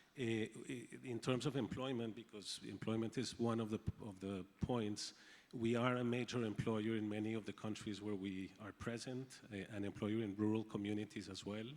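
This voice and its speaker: Delivered at a moderate pace with a Spanish accent, the speech has a monotone, flat intonation. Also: man. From Colombia. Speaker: agribusiness company executive. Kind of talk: panel discussion. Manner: halting, with repetitions.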